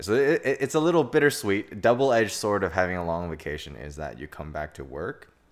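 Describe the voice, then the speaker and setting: A man at a very fast pace with very wide pitch swings. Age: 20s. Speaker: guest, boyfriend, computer engineer. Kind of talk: casual chat.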